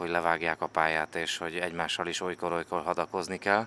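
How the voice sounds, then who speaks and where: A bright, sharp tone comes through at a very fast pace. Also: man. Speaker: sports journalist. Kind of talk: casual chat. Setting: on location at the Olympics.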